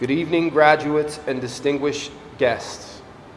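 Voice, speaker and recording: A man's fairly high voice at a moderate pace, amid noticeable background noise and audible room echo. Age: 40s. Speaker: adult education graduate. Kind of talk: graduation speech.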